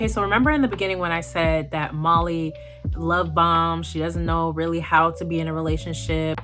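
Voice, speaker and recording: A woman talks at a fairly quick pace in an animated tone. There is audible room echo and music in the background. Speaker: YouTube movie commentator. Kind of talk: casual video commentary.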